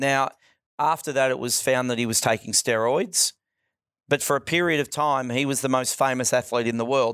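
An unremarkable speaking voice moves at a fairly quick pace with fairly even intonation, in a very clean recording with a silent background and a dry, close sound with no echo. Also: man. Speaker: school footy coach. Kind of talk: radio interview, live school-radio chat. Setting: school radio studio. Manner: relaxed, friendly, easygoing banter; conversational, thoughtful, measured.

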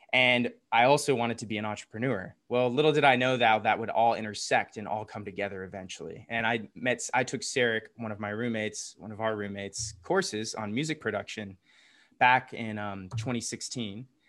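In a plain, everyday voice with an American accent, a medium-pitched man talks at a fairly quick pace with ordinary pitch variation and big swings in loudness against a quiet background. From US South, Atlanta. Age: 30s. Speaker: entrepreneur and DJ, co-living resident. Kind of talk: casual interview chat.

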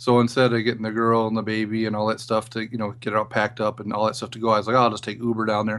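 A man's medium-pitched voice at a very fast pace, monotone and flat, with hardly any pauses. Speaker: former show producer, guest co-host. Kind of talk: casual chat.

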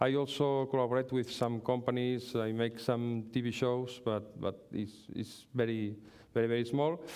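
Fairly even intonation marks this talking, which proceeds at a moderate pace. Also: man, medium pitch for a man. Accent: Catalan. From Catalonia, Spain. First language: Catalan. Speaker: pastry chef. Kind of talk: lecture with cooking demonstration. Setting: stage with audience. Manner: halting.

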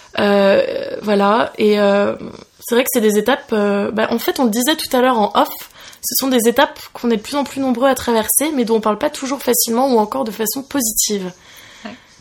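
A high-pitched woman at a fairly quick pace with ordinary pitch variation, amid noticeable background noise. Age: 20s. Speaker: podcast host. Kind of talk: casual chat. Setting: recording over coffee.

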